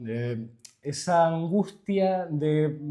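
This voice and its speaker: This is a man with an unremarkable speaking voice. His pitch is fairly high. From Canary Islands. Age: 20s. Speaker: linguist and poet. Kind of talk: interview answer. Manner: casual.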